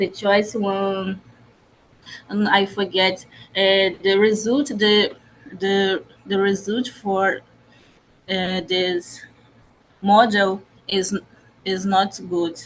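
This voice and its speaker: A woman at a medium pitch, speaking in a monotone, flat way at a very slow pace with long, frequent pauses. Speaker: researcher presenting at a conference. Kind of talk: conference presentation. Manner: halting, with many false starts and fillers.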